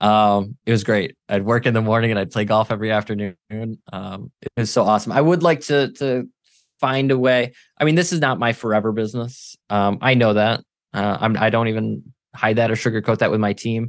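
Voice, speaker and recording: A plain, everyday voice: a man at medium pitch speaks at a fairly quick pace with ordinary pitch variation against a quiet background. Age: 30s. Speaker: military veteran and marketing agency owner. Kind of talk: interview.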